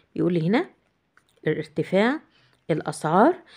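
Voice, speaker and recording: A woman with an Egyptian accent speaks at a moderate pace and medium pitch against a quiet background. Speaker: English teacher. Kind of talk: tutorial.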